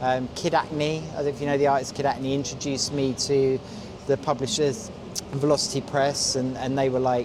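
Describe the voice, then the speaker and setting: Over noticeable background noise, a man with a London accent speaks at a moderate pace with fairly even intonation. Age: 50s. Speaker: graffiti artist. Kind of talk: interview. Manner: halting, many fillers and repeats.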